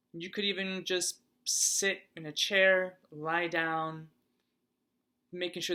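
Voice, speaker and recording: The speech is mumbled. It moves at a very slow pace. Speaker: holistic massage practitioner. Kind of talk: casual talk to camera. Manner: unscripted, some mumbling.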